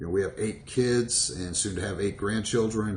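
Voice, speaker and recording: Somewhat breathy and fairly low in pitch, a man speaks with an American accent amid audible room echo. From Virginia. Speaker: network marketer. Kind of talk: motivational talk to camera. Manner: casual, hesitant with fillers.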